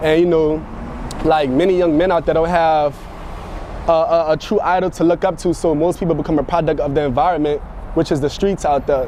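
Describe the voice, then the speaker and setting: In a New Orleans accent, a man speaks at a fairly quick pace with a fairly high pitch. His loudness stays very even and his intonation fairly even, with noticeable background noise behind him. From New Orleans, Louisiana. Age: 20s. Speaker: music producer. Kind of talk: interview. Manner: halting, many repetitions.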